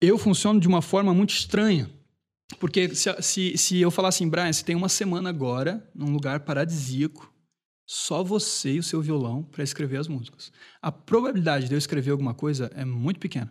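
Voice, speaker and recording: On a very clean recording with a silent background, a man with a plain, everyday voice speaks at a fairly quick pace and fairly high pitch with ordinary pitch variation. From Brazil, Brusque, Santa Catarina. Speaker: singer-songwriter. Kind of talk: casual chat.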